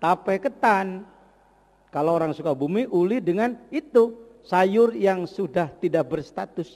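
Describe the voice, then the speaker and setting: A man speaks at a fairly slow pace. His pitch is high, with very wide swings. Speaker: Islamic preacher. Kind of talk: religious lecture. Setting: mosque.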